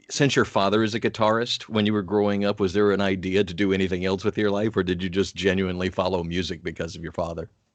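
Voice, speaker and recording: A man talks with an unremarkable speaking voice. His pitch is fairly low. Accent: American. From US, Atlanta. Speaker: radio host. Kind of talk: interview. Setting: video call.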